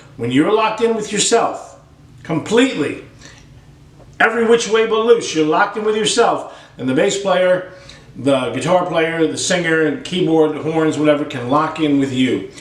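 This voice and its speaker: A man with a high pitch and lively intonation speaks through audible room echo and noticeable background noise. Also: moderate pace. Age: 60s. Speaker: drum teacher. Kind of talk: tutorial. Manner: animated.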